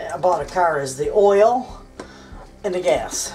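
With music in the background, a woman speaks with lively intonation. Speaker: homestead vlogger. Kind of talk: casual vlog chat. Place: kitchen. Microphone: phone near.

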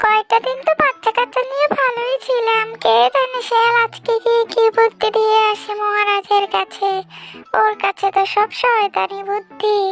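Over faint background music, a cartoonish character voice speaks at an extremely high pitch and a fairly slow pace. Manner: reproachful.

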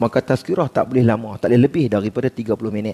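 Medium pitch from a man in an animated tone, at a moderate pace. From Kedah, Malaysia. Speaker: religious preacher; religious teacher. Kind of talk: sermon. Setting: mosque prayer hall with congregation. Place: hall. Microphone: headset.

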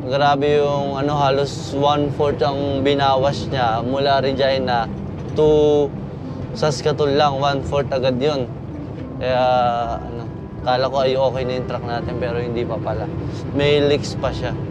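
There is noticeable background noise as a man speaks at a fairly slow pace, the sound dry and echo-free. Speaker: truck driver vlogger. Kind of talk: casual vlog chat. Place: car. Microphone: camera far.

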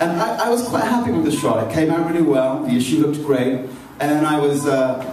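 A man speaks at a fairly quick pace with audible room echo and light background noise. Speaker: magazine editor. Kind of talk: event introduction and moderation. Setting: public event at a library. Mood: light, anecdotal. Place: hall.

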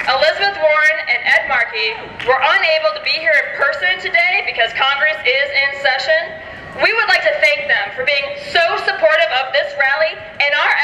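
A woman's raised, projected voice at an extremely high pitch, with lively intonation and a moderate pace, plus audible room echo and light background noise. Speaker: rally emcee. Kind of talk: rally speech reading out thank-yous to officials. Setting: outdoor rally with crowd. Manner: brisk, formal, roll-call delivery. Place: street.

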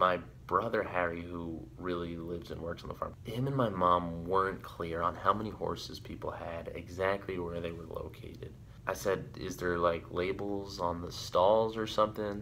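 A man speaks at a moderate pace in a low pitch, his intonation fairly even and his voice showing vocal fry.

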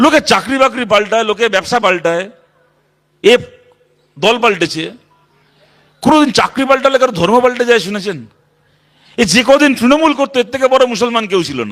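The tone is animated. Pitch varies an ordinary amount. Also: man, extremely high pitch for a man. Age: 30s. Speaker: politician. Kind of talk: political rally speech.

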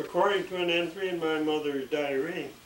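With an American accent, the speaker keeps a moderate pace and fairly even intonation. Light background noise and audible room echo are present. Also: man. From USA, Pennsylvania. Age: 80s+. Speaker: retired sewage plant operator. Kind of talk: autobiography reading. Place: home room. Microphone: camera far.

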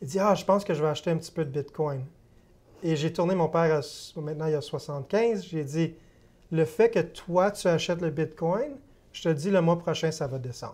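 A man with a high pitch talks at a moderate pace, his pitch variation ordinary. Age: 30s. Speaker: investment firm sales executive. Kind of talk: TV interview. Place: studio. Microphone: lapel.

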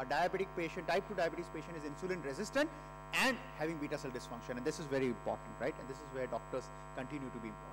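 Over noticeable background noise, a man with an Indian accent talks at a very fast pace. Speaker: endocrinologist. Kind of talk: conference lecture. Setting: stage with audience. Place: hall.

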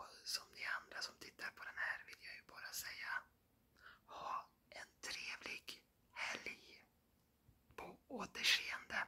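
A man whispering at a very slow pace, with big swings in loudness. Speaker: vlogger. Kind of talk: ASMR talk to camera. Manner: whispered. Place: home room. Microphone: phone near.

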